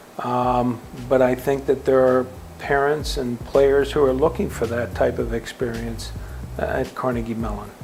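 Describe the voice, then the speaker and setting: There is noticeable background noise behind this man. He talks at a fairly slow pace with an American accent. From Western Pennsylvania, Pittsburgh. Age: 60s. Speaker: college football head coach. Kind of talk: interview. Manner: halting, many fillers and repetitions.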